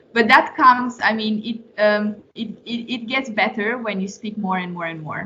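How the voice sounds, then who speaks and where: At a moderate pace, a woman with a Romanian accent uses a fairly high pitch and ordinary pitch variation. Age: 20s. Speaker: former intern and young professional. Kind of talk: Q&A with students. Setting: meeting with a student class. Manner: hesitant, many fillers and restarts.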